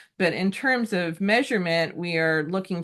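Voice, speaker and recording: An ordinary speaking voice at a moderate pace. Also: woman. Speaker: resilience researcher presenting at consortium meeting. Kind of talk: research presentation in online meeting.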